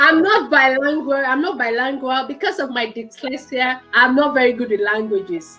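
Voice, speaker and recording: Music plays behind a woman whose raised, projected voice is high in pitch, with lively intonation at a moderate pace. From Nigeria. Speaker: talk show host. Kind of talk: casual chat.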